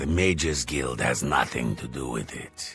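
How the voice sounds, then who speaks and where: Against clear background music, a man uses a put-on character voice with a very deep, low pitch. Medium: machinima. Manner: polite, self-satisfied.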